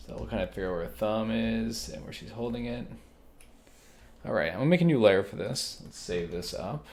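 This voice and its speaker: A soft-spoken man at a fairly quick pace, with big swings in loudness and audible room echo. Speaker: digital artist. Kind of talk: drawing tutorial. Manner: casual.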